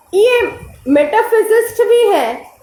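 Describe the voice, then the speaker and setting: A woman's lively intonation comes through audible room echo and noticeable background noise. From Bengal, India. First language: Bengali (speaking Hindi). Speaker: spiritual teacher. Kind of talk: lecture.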